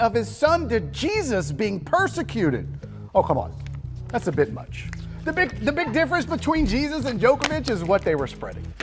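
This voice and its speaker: A man's voice comes at a moderate pace while music runs behind it. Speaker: comedic sports news host. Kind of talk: comedic sports news monologue with jokes.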